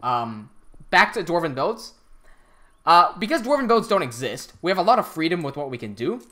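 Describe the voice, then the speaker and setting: The recording is very clean, with a silent background. The speaker has an American accent and keeps a moderate pace. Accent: American English, chosen over British. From Hong Kong. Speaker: live streamer and game builder. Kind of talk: casual live stream commentary. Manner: halting, many fillers and restarts.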